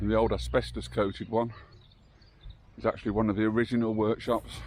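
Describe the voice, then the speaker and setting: A quiet man talks at a very fast pace in a fairly low pitch. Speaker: local history vlogger. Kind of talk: walking vlog narration. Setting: outdoors, walking a site. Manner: quiet, hushed.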